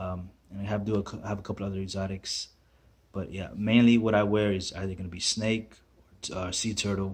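A man speaks at a fairly low pitch with fairly even intonation. His voice is somewhat breathy. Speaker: boot collector vlogger. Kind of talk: casual vlog chat. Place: home room. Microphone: phone near.

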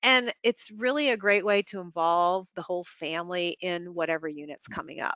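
An ordinary speaking voice with an American accent moves at a moderate pace with lively intonation and hardly any pauses. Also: woman, fairly low pitch for a woman. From central Pennsylvania. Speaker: early childhood curriculum company partner. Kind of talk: webinar presentation. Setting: online webinar.

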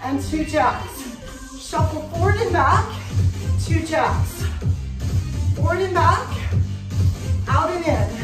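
A woman's very slow speech with long, frequent pauses, audible room echo and clear music in the background. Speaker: fitness instructor. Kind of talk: workout instruction cues. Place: home room. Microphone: camera far.

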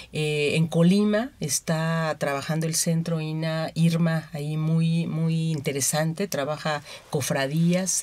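Speaking at a very slow pace, a woman uses a very deep, low pitch and fairly even intonation. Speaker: anthropologist. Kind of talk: radio interview.

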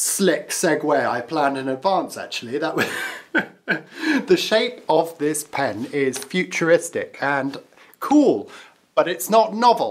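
A man's high-pitched voice with very wide pitch swings at a very slow pace. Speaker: pen reviewer. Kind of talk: casual review chat. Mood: playful, self-amused. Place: home room. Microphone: phone near.

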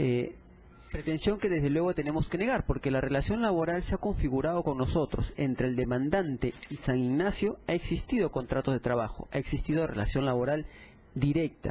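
The voice is somewhat breathy and belongs to a man. He talks at a moderate pace. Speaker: defense lawyer for the employer. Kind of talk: courtroom argument. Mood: formal, assertive. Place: hall.

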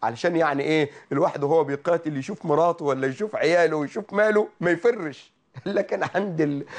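Against a quiet background, a man with a high pitch speaks in an animated tone with hardly any pauses. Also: ordinary pitch variation, moderate pace. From Egypt. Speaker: Islamic preacher hosting a call-in TV program; religious preacher. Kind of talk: religious talk show sermon with callers. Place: studio. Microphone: lapel.

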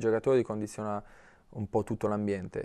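The man's intonation stays monotone and flat. His pitch sits fairly low. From Apulia, Italy. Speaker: professional footballer; guest. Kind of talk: TV sports interview. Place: studio. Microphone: lapel.

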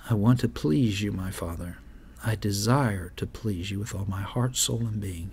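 A man with a fairly low voice speaks at a moderate pace, somewhat breathy. His pitch varies in an ordinary way over light background noise. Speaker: pastor hosting a live prayer program. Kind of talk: sermon. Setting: studio. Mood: earnest, devotional. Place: studio. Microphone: studio mic.

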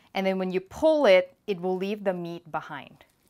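There is a quiet background as a woman talks. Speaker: cooking show host. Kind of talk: tutorial. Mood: cheerful and encouraging. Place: kitchen.

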